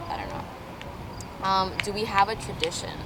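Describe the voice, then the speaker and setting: Someone speaks with an American accent. The recording has audible room echo and noticeable background noise. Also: woman. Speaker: vlogger. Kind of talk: casual chat. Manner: loud.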